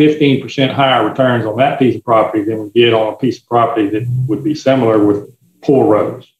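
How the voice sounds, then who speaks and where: A man with a Louisiana accent, fairly quick in pace and fairly even in intonation. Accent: US South, Louisiana. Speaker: forester and land broker. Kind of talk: interview answers.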